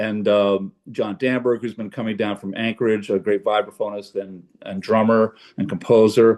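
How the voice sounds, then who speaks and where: A man speaks with a fairly low pitch. He has an ordinary speaking voice. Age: 60s. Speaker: jazz pianist. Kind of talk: casual chat. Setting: video call.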